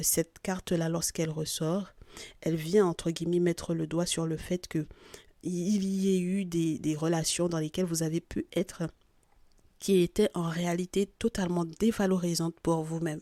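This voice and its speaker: The recording is very clean and dry, close with no echo and a silent background. A woman speaks at a moderate pace in a fairly low, dark, mellow monotone with flat intonation. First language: not French (speaking French). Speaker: spiritual guidance podcaster. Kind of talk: spiritual guidance reading. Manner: hesitant, with fillers.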